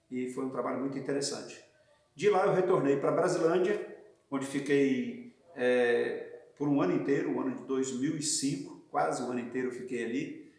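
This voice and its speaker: The speech moves at a moderate pace, and audible room echo hangs around it. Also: man. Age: 60s. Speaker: pastor. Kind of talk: interview testimony.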